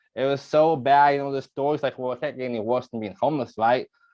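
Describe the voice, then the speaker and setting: A man's fairly high-pitched voice, animated in tone, with ordinary pitch variation. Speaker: real estate coach. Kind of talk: webinar presentation. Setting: video call.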